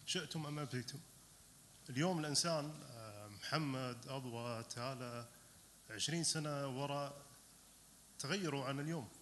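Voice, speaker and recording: A man with an Arabic accent and a fairly high pitch, slow-paced with long, frequent pauses, ordinary pitch variation, and audible room echo. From Qatar. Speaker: audience member. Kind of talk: audience comment. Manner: halting.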